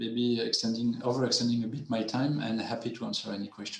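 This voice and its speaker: A man at medium pitch with a strong French accent, moderate pace, noticeable background noise and audible room echo. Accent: heavy French. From France. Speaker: development finance panelist. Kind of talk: webinar panel presentation. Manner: halting, many repetitions and fillers.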